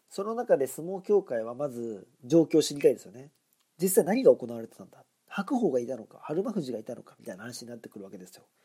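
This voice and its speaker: A man's fairly high voice, very fast, dark and mellow in tone, with very wide pitch swings and big swings in loudness. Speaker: podcast host. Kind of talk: solo monologue podcast commentary. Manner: casual, chatty, conversational.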